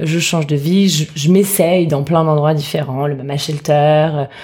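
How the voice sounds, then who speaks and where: Noticeable background noise sits behind the recording. A woman with a very deep, low voice speaks at a fairly slow pace. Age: 30s. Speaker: food entrepreneur, former lawyer. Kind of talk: casual interview.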